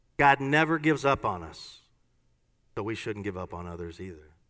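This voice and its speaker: A man's fairly low-pitched voice with a bright, sharp tone and lively intonation, at a fairly quick pace, in a very clean recording with a silent background. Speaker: pastor. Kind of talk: sermon. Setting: church.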